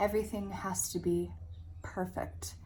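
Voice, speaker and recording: The speaker is a woman. Audible room echo surrounds her words. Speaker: self-help vlogger. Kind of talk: personal vlog monologue. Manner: candid, reflective.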